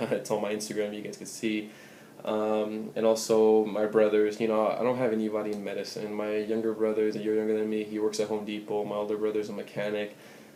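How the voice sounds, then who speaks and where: Against audible room echo, a man with a Spanish accent talks very fast in a fairly low pitch with monotone, flat intonation. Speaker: pre-med student vlogger. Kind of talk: advice vlog. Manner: casual, many fillers.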